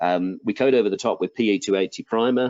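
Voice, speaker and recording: This is a man with an English accent. His pitch is fairly low. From England. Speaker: product manager presenting flooring products. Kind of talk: webinar product presentation.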